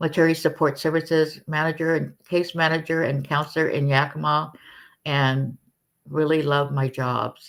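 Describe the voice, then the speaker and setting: The recording is very clean with a silent background, and the woman's fairly slow delivery is monotone, with flat intonation. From Hawaii. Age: 70s. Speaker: counselor. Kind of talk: interview.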